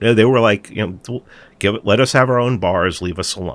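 Intonation rises and falls in a lively way as a man talks. There is no background sound at all on this very clean recording. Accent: New York. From New York City, the Bronx. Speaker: podcast host and documentary producer. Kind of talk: political interview.

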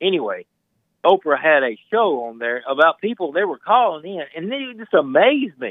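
With a Southern US accent, a man speaks at a moderate pace in a high pitch, his voice making very wide pitch swings and big swings in loudness. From Mississippi. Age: 40s. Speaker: caller. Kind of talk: call-in chat.

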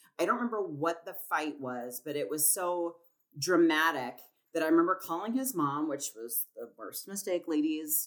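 A woman's fairly low-pitched voice, an unremarkable speaking voice, with lively intonation, a moderate pace and big swings in loudness, on a very clean recording with a silent background. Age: 30s. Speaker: artist and designer. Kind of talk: casual chat.

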